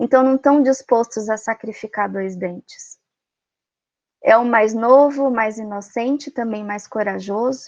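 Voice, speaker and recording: A woman speaks in a high voice with a dry, close sound and no echo. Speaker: Jungian psychology speaker. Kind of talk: lecture.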